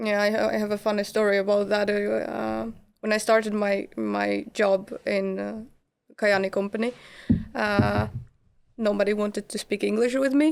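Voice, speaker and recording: She speaks with a Polish accent. Her pace is moderate. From Poland. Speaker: immigrant resident. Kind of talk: podcast interview.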